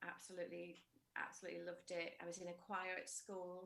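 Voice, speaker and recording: A woman of medium pitch speaks with a northern English accent. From northern England, Widnes, Cheshire (Liverpool parents). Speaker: musical theatre soprano. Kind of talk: interview. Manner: halting, many fillers.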